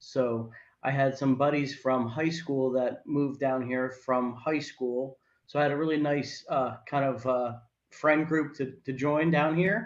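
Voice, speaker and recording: With a New Jersey accent, a man talks at a fairly slow pace in a fairly high pitch with fairly even intonation. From northern New Jersey, Morris County. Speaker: healthcare sales professional. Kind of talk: interview.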